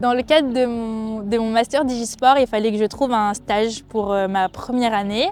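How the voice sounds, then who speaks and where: A woman speaks at a fairly slow pace with a fairly high pitch. Her intonation stays fairly even over noticeable background noise. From France, Brittany (Finistère, near Brest). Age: 20s. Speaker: rugby player and PhD researcher. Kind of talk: interview testimony. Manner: hesitant, many fillers.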